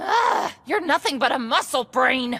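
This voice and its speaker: A woman's raspy, high-pitched put-on character voice at a moderate pace. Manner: hollering.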